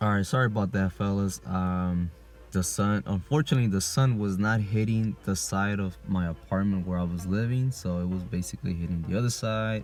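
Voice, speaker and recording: With music in the background, a man with a very deep, low voice talks at a fairly quick pace and with lively intonation. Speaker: vlogger documenting hair regrowth. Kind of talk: casual video diary. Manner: casual, filler-heavy.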